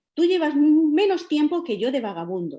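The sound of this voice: A woman's put-on character voice, hoarse and high, with very wide pitch swings at a moderate pace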